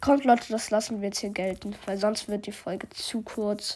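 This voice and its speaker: A woman speaks at a fairly slow pace in a somewhat breathy, fairly high voice with fairly even intonation. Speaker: gaming podcaster. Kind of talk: gameplay commentary.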